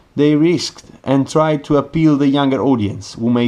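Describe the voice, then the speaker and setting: Here a man talks with an Italian accent. He keeps a moderate pace. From Italy. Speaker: watch reviewer. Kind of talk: product review.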